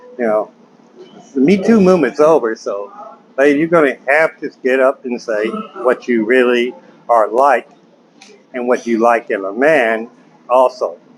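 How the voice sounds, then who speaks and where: A man at medium pitch and a fairly slow pace, with lively intonation over noticeable background noise. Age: 60s. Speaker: vlogger giving dating advice. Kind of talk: casual monologue to camera. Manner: conversational, with fillers.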